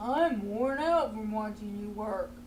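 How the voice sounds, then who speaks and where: Using a put-on character voice, the speaker talks at a fairly slow pace in a fairly high pitch over clear background noise. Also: female-sounding voice. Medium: read story.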